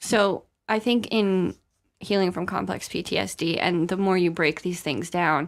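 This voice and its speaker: A soft-spoken woman talks at a moderate pace, with a fairly low pitch and ordinary variation. The recording is very clean, with a silent background. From US South. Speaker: podcast host. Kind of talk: casual chat.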